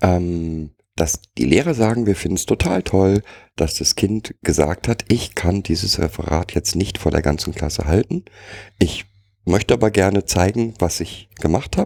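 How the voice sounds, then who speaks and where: Speaking at a moderate pace, a man with a very deep, low pitch and a dark, mellow tone is heard in dry, close sound with no echo. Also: ordinary pitch variation. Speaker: co-host. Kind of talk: casual chat.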